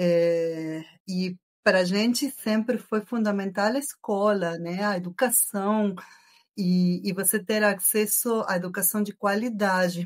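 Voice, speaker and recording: On a very clean recording with a silent background, a woman speaks at a very slow pace in a medium pitch with fairly even intonation. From Argentina. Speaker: engineering professor. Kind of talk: podcast interview.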